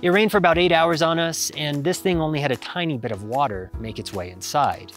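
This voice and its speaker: Over faint music in the background, a man talks at a fairly quick pace with a dry sound and no echo. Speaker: gear reviewer. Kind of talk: product review talk to camera. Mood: upbeat, joking. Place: forest. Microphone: lapel.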